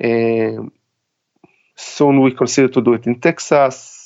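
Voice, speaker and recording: The speaker talks at a very slow pace in an Israeli accent, with monotone, flat intonation. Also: man. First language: Hebrew. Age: 40s. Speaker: army veteran and tactical trainer. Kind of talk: interview. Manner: halting.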